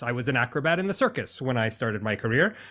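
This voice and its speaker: Talking at a fairly quick pace, a man with an American accent uses lively intonation and an animated tone at medium pitch, on a very clean recording with a silent background. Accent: American, sometimes taken for Canadian. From United States. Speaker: business coach and speaker. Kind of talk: podcast interview.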